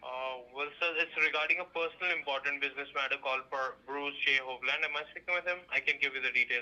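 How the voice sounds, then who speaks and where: Against noticeable background noise, a man with a fairly high pitch and fairly even intonation speaks very fast, with hardly any pauses. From India. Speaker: call center debt collector. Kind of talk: scripted collection call. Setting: phone call. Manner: formal.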